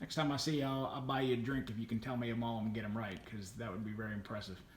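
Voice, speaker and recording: A man is speaking. Room echo can be heard. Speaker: lantern collector, video host. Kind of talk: casual show-and-tell tour. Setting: home man cave room. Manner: fast.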